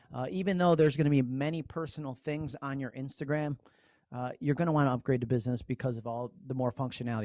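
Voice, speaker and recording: Speech pours out at a very fast pace from a man with a New York accent. His medium pitch has ordinary pitch variation, in a dry, close sound with no echo. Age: 40s. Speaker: social media trainer. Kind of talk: online training webinar. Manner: animated.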